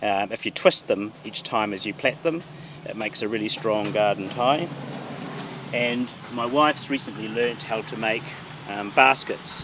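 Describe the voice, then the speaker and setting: A man speaks with a southern New Zealand accent at medium pitch, moderate pace and ordinary pitch variation. His long, frequent pauses sit over noticeable background noise. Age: 60s. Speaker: gardener. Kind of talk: guided garden tour. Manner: halting, many fillers.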